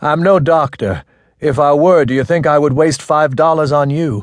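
At a moderate pace, a man puts on a character voice pitched fairly high, with ordinary pitch variation. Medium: read story. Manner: terse, hesitant, then harsh and exasperated.

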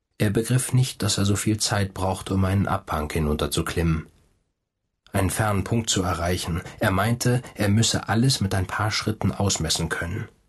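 This man's fairly low, somewhat breathy voice keeps a very even loudness and ordinary pitch variation. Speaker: audiobook narrator.

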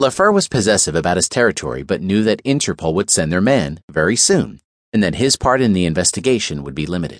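Over a quiet background, a man with a very deep, low pitch and vocal fry talks very fast with very wide pitch swings. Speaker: audiobook narrator. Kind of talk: scripted audiobook narration of a crime thriller, dramatic. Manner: grave, measured, suspenseful storytelling.

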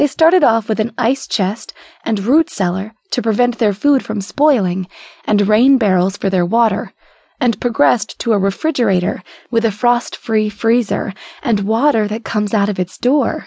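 A woman speaks at a moderate pace in a warm, dark, mellow tone with ordinary pitch variation. The sound is dry and close, with no echo. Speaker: audiobook narrator. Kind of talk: audiobook narration, reading a book's foreword aloud. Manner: even, measured, warm storytelling pace; clear, steady and formal-leaning, like a literary reading.

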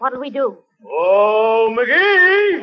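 A woman puts on a character voice at a fairly high pitch, moving at a very slow pace with big pitch swings.

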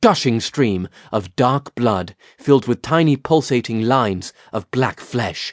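The intonation rises and falls in a lively way. The reading voice is unforced.

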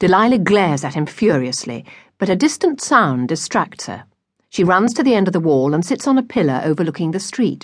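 Quiet background behind a natural reading voice

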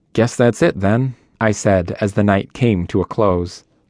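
A man talks at a moderate pace in an ordinary speaking voice, fairly low in pitch. His pitch varies in an ordinary way against a quiet background. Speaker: audiobook narrator. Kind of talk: dramatic audiobook narration, reading aloud first-person fiction.

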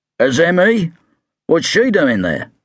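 A man's put-on character voice, high-pitched and raspy, with very wide pitch swings. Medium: read story. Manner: gruff, sardonic.

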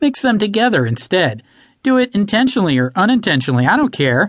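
Over a quiet background, a man rattles off a put-on character voice at a very fast pace, pitched high, with very wide pitch swings. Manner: hissing, menacing, insidious.

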